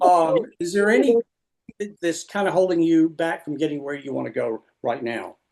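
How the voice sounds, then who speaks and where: With lively intonation, a man speaks at a moderate pace and a high pitch. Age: 70s. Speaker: webinar host. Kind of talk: interview.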